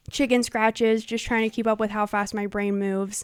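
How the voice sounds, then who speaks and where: A woman speaks at a fairly quick pace with fairly high pitch, in a very clean recording with a silent background and a dry, close sound with no echo. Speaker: YouTuber, fan commentator. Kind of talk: casual video commentary. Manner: fast.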